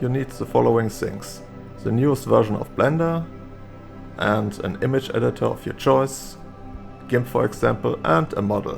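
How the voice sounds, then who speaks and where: A man with a non-native accent speaks at a moderate pace over music in the background. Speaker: 3D artist, tutorial maker. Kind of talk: software tutorial narration.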